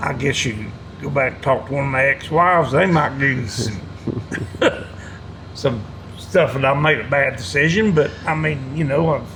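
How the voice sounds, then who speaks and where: A man with an Appalachian accent and fairly high pitch, at a moderate pace with ordinary pitch variation and long, frequent pauses, plus noticeable background noise and audible room echo. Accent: Southern US Appalachian. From North Carolina (Hickory). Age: 70s. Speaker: war veteran. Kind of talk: interview. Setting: veterans' hall. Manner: casual, halting.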